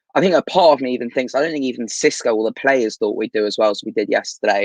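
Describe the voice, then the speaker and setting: The recording is dry and close, without any echo. In it, a man talks very fast. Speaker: football fan channel co-host. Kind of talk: casual chat.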